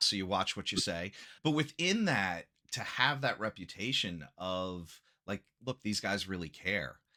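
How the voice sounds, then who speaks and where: Loud and bright, with a sharp tone, a man speaks at a fairly low pitch and a fairly slow pace with lively intonation on a very clean recording with a silent background. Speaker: acupuncturist. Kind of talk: podcast interview. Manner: animated.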